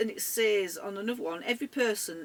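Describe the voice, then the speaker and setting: A moderate pace carries the delivery. The voice has an English accent. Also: woman. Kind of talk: casual talk to camera.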